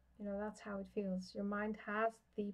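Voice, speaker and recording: A woman with a Dutch accent speaks at a moderate pace and a medium pitch, her intonation monotone and flat. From Netherlands. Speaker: tarot reader. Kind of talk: live-stream card reading. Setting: live stream. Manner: halting.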